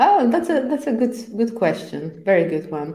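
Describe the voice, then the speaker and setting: This woman has a dark, mellow tone and a Polish accent. Her voice carries audible room echo. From Poland. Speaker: agile trainer and coach. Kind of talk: interview. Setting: live stream. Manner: halting, many fillers.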